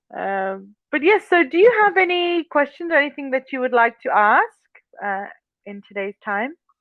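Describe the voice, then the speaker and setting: At a moderate pace, a woman speaks with a high pitch, very wide pitch swings and big swings in loudness. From England. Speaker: online English tutor. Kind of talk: casual chat.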